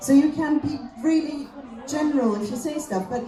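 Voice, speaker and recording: Noticeable background noise and audible room echo accompany a woman's voice. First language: German. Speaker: comedian. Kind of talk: stand-up.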